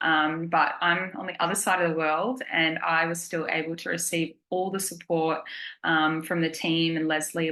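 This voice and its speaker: In an Australian accent, a woman with a fairly low pitch talks at a moderate pace in a bright, sharp tone. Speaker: program client. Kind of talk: testimony. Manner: casual, many fillers.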